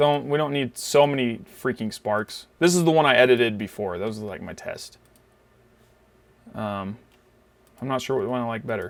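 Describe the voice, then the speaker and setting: A man with a medium pitch speaks at a moderate pace with lively intonation and big swings in loudness. He leaves long, frequent pauses, and the recording is very clean with a silent background. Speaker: photography tutorial youtuber. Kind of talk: tutorial. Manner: casual, filler-heavy.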